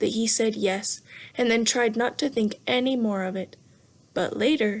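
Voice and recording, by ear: A natural voice, reading aloud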